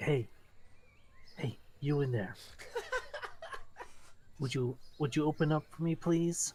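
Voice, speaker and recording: This man speaks softly in a put-on character voice that sounds breathy. He goes at a fairly slow pace with long, frequent pauses. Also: fairly high pitch for a man. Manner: coaxing.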